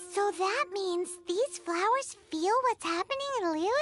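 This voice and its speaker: This is a put-on character voice, squeaky in quality. The pitch sits extremely high. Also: fairly slow pace. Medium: video game. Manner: curious, questioning.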